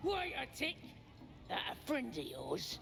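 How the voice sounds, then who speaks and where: Using a put-on character voice, a man speaks at a fairly slow pace against clear background noise. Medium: video game. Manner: jeering, rough.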